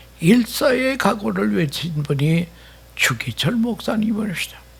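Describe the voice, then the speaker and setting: A man's pitch swings very widely while noticeable background noise is heard. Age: 80s+. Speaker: retired pastor. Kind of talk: sermon.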